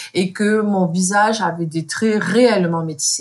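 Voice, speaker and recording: At a medium pitch, a woman speaks in a somewhat breathy voice. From France, of Moroccan parents. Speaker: content creator. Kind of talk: interview conversation.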